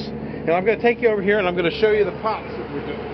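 Over noticeable background noise, a man with a high pitch speaks in a dry sound with no echo. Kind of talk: tutorial. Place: farm machine. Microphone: phone near.

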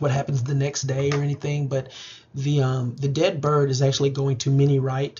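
What you hear is plain reading aloud.

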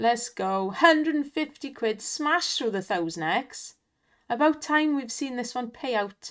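A woman with a Welsh accent, high-pitched, very slow and lively in intonation, on a very clean recording with a silent background. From Wales, not the valleys, east. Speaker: online slots streamer. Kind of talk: casual live commentary on slot play. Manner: animated, exclamatory.

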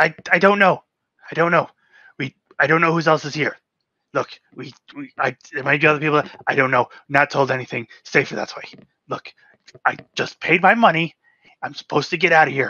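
A put-on character voice moves at a moderate pace in a middle pitch. Long pauses break it up frequently. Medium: actual play. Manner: pleading, panicked, begging.

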